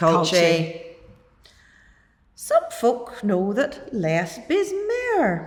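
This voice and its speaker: A woman with an Ulster accent speaks at a very slow pace and a fairly high pitch, her pitch swinging very widely between long, frequent pauses. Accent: Ulster-Scots. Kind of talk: poetry reading.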